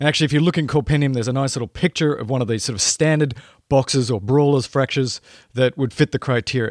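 Talking very fast, a man with an Australian accent uses a medium pitch and ordinary pitch variation in a very clean recording with a silent background. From rural Australia. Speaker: emergency medicine podcast host. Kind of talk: educational podcast monologue. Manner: animated.

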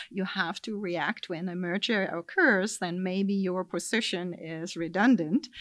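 A woman with a German accent speaks at a fairly slow pace with hardly any pauses, her pitch medium and its variation ordinary. The recording is very clean, with a silent background. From Germany. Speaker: life sciences industry executive. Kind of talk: interview. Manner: many filler sounds.

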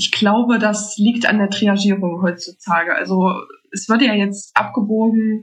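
Her intonation is monotone and flat. The woman's medium-pitched voice is somewhat breathy. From Thuringia, Germany. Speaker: medical lab technician. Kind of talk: casual interview chat.

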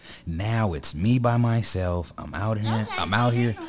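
There is noticeable background noise. A man speaks at a moderate pace with ordinary pitch variation. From urban US community. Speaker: podcast host. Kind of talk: casual chat. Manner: animated.

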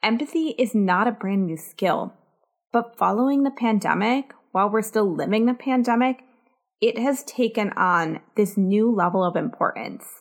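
A woman with a fairly high pitch talks at a moderate pace, her pitch varying in an ordinary way. Her loudness stays very even on a very clean recording with a silent background. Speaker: podcast host. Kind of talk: solo podcast monologue. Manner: cheery, bright.

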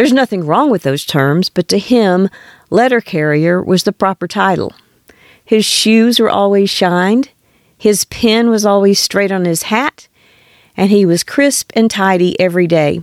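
A woman with a plain, everyday voice speaks at a fairly slow pace, medium in pitch with ordinary pitch variation. Her loudness stays very even, and the sound is dry and close with no echo. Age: 60s. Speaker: podcast host. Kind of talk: scripted narration.

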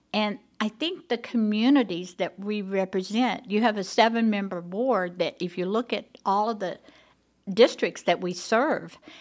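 The woman speaks with an Oklahoma accent and ordinary pitch variation. The recording is very clean, with a silent background. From Oklahoma, Tulsa. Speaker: school board president. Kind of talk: interview.

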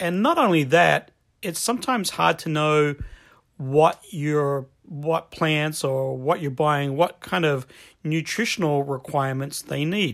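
In a very clean recording with a silent background, a man with an American accent talks at a fairly slow pace and fairly high pitch, with ordinary pitch variation. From Australia, Adelaide. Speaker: gardening podcast host. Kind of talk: casual instructional monologue.

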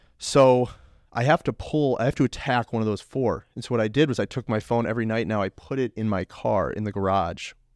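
A man's normal speaking voice at a medium pitch and fairly quick pace, with ordinary pitch variation, a dry, close sound with no echo, and a quiet background. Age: 20s. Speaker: podcast host and fitness coach. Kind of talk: casual monologue.

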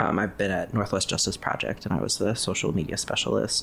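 Talking at a fairly quick pace, a man with an American accent has a fairly low pitch and vocal fry. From US Midwest, Ohio. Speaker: graphic designer. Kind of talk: casual interview.

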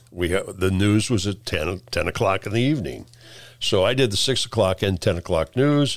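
A man with a Midwestern US accent, lively intonation, and very even loudness. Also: fairly low pitch for a man, moderate pace. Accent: US Midwest. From central Illinois (Peoria). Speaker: retired TV director. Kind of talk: casual interview. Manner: halting.

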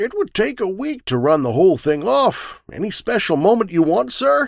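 A man's put-on character voice at a high pitch, with very wide pitch swings and moderate pace. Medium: read story. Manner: deferential, absent-minded.

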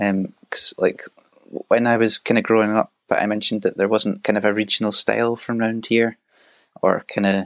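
With a west of Scotland accent, a man speaks in a dry, close sound with no echo. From Scotland, Argyll near Loch Lomond. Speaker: traditional fiddle player. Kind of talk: interview.

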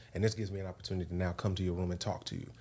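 A man speaks with a very deep, low pitch and a dark, mellow tone. His delivery is somewhat breathy and monotone, with flat intonation. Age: 30s. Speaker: reality TV contestant. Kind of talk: casual chat.

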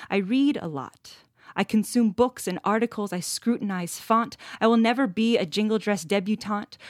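A plain, everyday voice moves at a moderate pace with ordinary pitch variation. The sound is dry and close with no echo, and the very clean recording has a silent background. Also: woman. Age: 30s. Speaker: poet and activist. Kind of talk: interview, reading poetry aloud.

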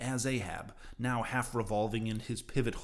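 Plain reading aloud keeps its intonation fairly even.

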